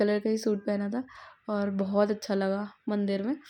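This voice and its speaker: With a quiet background, a woman speaks in a dark, mellow tone. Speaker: vlogger. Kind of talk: casual vlog narration.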